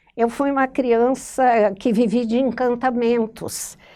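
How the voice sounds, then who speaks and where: Her voice sits high in pitch. This woman talks very slowly. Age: 70s. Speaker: writer. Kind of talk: interview monologue. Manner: halting, with self-corrections.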